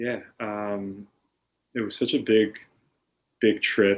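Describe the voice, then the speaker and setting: A man with an American accent talks in a monotone, flat intonation. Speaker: dance facilitator and DJ. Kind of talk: casual chat.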